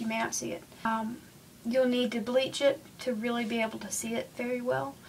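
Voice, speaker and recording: Noticeable background noise runs under the voice. The intonation stays fairly even, with an American accent. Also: woman. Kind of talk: casual how-to talk to camera. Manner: chatty, rambling, many fillers.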